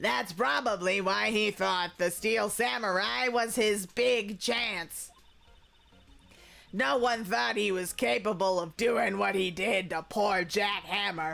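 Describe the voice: Gravelly and middle-pitched, the put-on character voice moves at a fairly slow pace. Music plays in the background.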